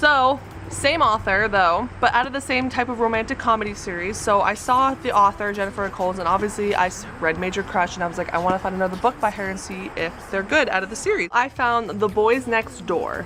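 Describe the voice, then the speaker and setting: Over noticeable background noise, a bubbly voice moves at a fairly quick pace with hardly any pauses and ordinary pitch variation. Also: woman, medium pitch for a woman. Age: 20s. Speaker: book vlogger. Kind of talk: casual vlog talk. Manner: halting, stuttering.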